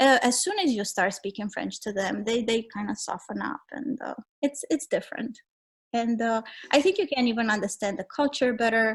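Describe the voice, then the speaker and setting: With a Romanian accent, a woman speaks in a fairly high pitch with lively intonation. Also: moderate pace. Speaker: travel writer and photographer. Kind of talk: interview. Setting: podcast.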